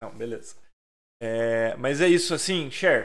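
This man's voice has a bright, sharp tone. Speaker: podcast host. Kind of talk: casual chat. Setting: live stream.

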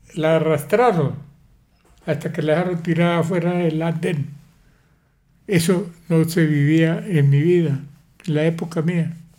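Amid audible room echo, the voice is dark and mellow, with fairly even intonation, a fairly slow pace, and long, frequent pauses. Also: man, fairly high pitch for a man. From Colombia, Pamplona, Norte de Santander. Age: 80s+. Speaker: grandfather sharing life story. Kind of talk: casual family interview.

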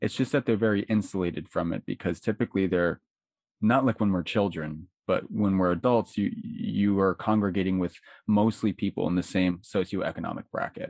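A man speaks at a fairly quick pace in a normal speaking voice, with fairly even intonation and a dry, close sound with no echo over a quiet background. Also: fairly low pitch for a man. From Florida, Pasco County. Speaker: writer and podcaster. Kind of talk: casual chat.

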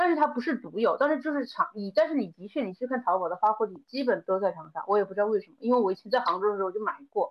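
A woman races along at a very fast pace with hardly any pauses, her fairly high voice swinging very widely in pitch and loudness. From Hunan, Changde area. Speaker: event planner. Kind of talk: casual chat.

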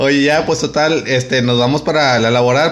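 This man has an unremarkable speaking voice, medium in pitch, and talks at a moderate pace. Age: 30s. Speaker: podcast co-host. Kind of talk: casual chat.

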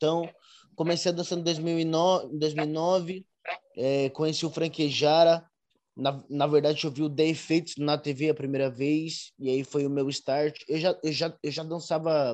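A man speaks at a fairly slow pace with a fairly high pitch. His intonation is monotone and flat against a quiet background. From São Paulo, Brazil. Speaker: urban dancer and dance teacher. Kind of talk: interview. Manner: halting, with many repeated words and fillers.

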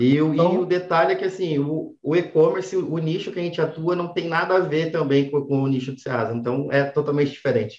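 With hardly any pauses, a man talks at a fairly quick pace and a fairly high pitch, using ordinary pitch variation. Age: 20s. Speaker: entrepreneur. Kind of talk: interview. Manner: halting.

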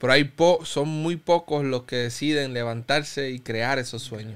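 This man has a plain, everyday voice pitched fairly high, with fairly even intonation at a fairly slow pace. The recording is very clean against a silent background. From Cuba. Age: 30s. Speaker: pastor. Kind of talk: interview testimony.

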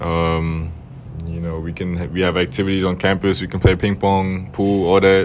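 A man talks with a very deep, low pitch and monotone, flat intonation. Noticeable background noise sits behind him. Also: moderate pace. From Germany. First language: German. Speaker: college student interviewer. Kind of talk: casual interview. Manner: casual, slangy.

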